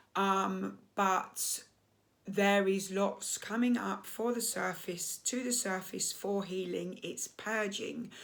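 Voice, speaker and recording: A woman speaks very slowly at a medium pitch in an English accent. Her intonation is monotone and flat. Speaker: coach and therapist. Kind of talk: casual monologue to camera.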